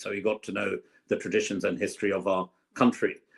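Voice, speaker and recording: Talking at a fairly quick pace, a man with a London accent keeps his fairly low pitch on fairly even intonation. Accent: southern English, London. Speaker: politician, former government minister. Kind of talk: podcast interview.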